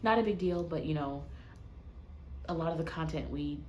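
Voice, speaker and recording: A quiet woman's voice at a fairly quick pace, with audible room echo. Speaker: vlogger. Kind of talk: casual vlog talk to camera. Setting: hotel room. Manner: quiet, hushed.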